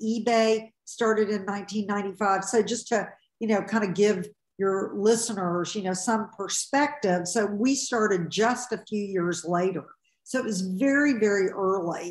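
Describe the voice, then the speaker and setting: Against a quiet background with audible room echo, a woman speaks at a fairly slow pace with ordinary pitch variation. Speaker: podcast guest. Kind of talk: interview answer. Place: home room. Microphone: video call.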